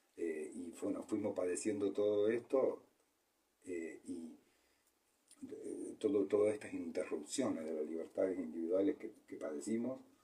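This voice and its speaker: A man speaks at a fairly slow pace. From Argentina. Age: 60s. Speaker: medical doctor. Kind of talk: interview. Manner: halting, many fillers and repetitions.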